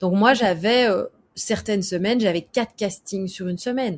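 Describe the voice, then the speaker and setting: A woman's somewhat breathy, medium-pitched voice at a fairly slow pace, with ordinary pitch variation, on a very clean recording with a silent background. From Belgium. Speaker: actress and screenwriter. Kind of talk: interview. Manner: casual, with many fillers.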